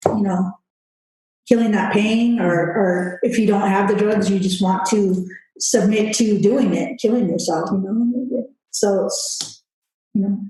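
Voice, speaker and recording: A woman with an unremarkable speaking voice talks at a medium pitch. Her pace is fairly slow and her intonation fairly even. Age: 40s. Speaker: recovered addict sharing lived experience. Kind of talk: testimony in interview.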